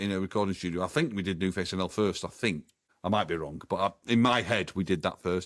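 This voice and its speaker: With a Manchester accent, a man talks at a very fast pace in a very deep, low voice. His pitch varies in an ordinary way, and the recording is very clean with a silent background. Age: 60s. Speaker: drummer, former band member. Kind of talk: interview. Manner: halting.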